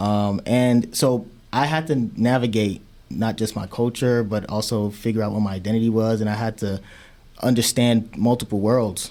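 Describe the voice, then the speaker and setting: On a very clean recording with a silent background, a man of medium pitch speaks at a moderate pace in a dark, mellow tone with fairly even intonation. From Chicago (born in Nigeria, raised on south side). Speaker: public health researcher and podcaster. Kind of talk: interview conversation.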